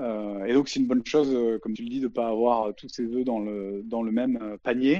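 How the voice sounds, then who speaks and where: With a slight southern French accent, a man speaks at medium pitch in a dark, mellow tone with fairly even intonation. His pace is moderate with hardly any pauses, over a quiet background. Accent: little southern French. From southeast France, Avignon. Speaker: video game producer. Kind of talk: interview. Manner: halting, many repetitions and fillers.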